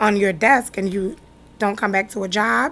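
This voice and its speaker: A woman speaks with an American accent and a fairly high pitch. Noticeable background noise runs under her voice. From Newark, New Jersey. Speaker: business owner. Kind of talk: interview.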